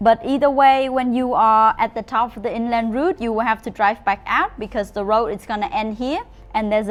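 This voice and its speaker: Speaking with a Vietnamese accent, the voice moves at a fairly quick pace with ordinary pitch variation. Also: woman. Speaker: motorbike rental company employee. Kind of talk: travel route advice to camera.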